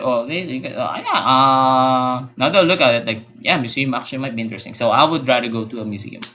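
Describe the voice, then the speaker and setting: A man with a non-native accent at medium pitch and a fairly quick pace. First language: not English. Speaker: gaming YouTuber. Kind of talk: casual commentary. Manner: halting.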